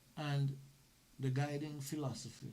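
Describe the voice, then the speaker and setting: Spoken at a very slow pace, the voice has a dark, mellow tone and is somewhat breathy, with audible room echo. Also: man. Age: 70s. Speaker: former police officer turned lawyer. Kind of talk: interview conversation.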